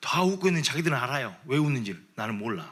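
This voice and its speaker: A man talks at a fairly quick pace in a bright, sharp tone with very wide pitch swings. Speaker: pastor. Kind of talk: sermon. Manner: animated.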